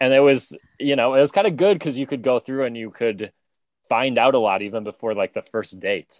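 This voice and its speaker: A man talks at a fairly quick pace in a normal speaking voice, medium in pitch with ordinary variation. The recording is very clean, dry and close, with a silent background and no echo. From United States. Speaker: stand-up comedian. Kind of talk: casual chat.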